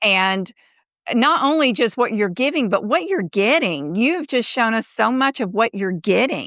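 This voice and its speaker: A woman's fairly high voice at a fairly slow pace, with very wide pitch swings and very even loudness. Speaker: podcast host. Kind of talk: podcast interview.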